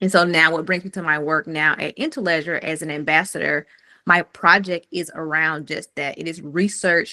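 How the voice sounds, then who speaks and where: Against a quiet background, a woman talks in a very deep, low pitch with a bright, sharp tone and fairly even intonation, the sound dry and close with no echo. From US South, rural Mississippi near Jackson. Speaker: fintech founder and researcher. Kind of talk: community call presentation.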